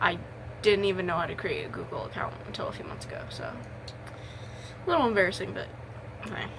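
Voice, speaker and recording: A woman at a fairly quick pace, with big swings in loudness, noticeable background noise and audible room echo. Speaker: gaming content creator. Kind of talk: casual Q&A monologue. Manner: halting, filler words.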